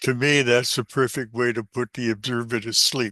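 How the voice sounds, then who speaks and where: At a moderate pace, a man with a medium pitch and a bright, sharp tone speaks in a monotone, flat intonation, the sound dry and close with no echo over a quiet background. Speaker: senior college instructor. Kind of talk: course presentation. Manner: loud; chatty.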